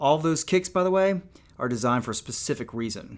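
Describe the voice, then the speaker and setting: A man with a Georgia accent talks at a fairly quick pace with ordinary pitch variation, on a very clean recording with a silent background. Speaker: YouTuber reading an audiobook. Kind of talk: reading aloud; casual chat.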